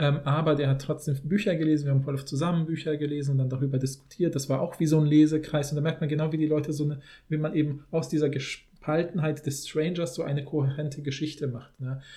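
A man talks at a very fast pace in a fairly high, somewhat breathy voice with a dark, mellow tone. His intonation is monotone and flat. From Germany, Polish family background. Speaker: linguist, podcast co-host. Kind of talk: casual chat.

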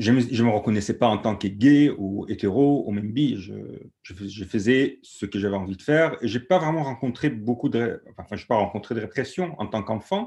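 Hardly pausing, a man with an Egyptian accent speaks at a moderate pace and medium pitch in a dark, mellow tone. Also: ordinary pitch variation. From Egypt, Alexandria. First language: Egyptian Arabic (speaking French). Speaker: activist. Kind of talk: panel discussion testimony. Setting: video call.

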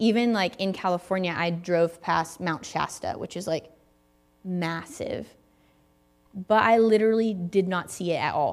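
A woman with a Southern US accent at a medium pitch, with ordinary pitch variation and long, frequent pauses. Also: moderate pace. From US South, Tennessee. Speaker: guest preacher. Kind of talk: sermon. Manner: casual, conversational.

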